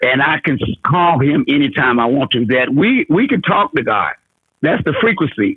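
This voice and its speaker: A man speaks at a moderate pace in a fairly high voice, his pitch swinging very widely while his loudness stays very even. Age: 60s. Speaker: caller. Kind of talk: casual chat. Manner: halting.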